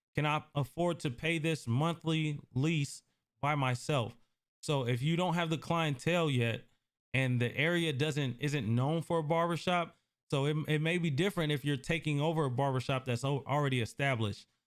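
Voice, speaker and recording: With an American accent, a man has an ordinary speaking voice at a fairly high pitch, with ordinary pitch variation and very even loudness. He keeps a moderate pace, and the recording is very clean with a silent background. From US Northwest (Portland, Oregon). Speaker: barber and barbershop owner. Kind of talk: live-stream Q&A. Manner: casual, conversational.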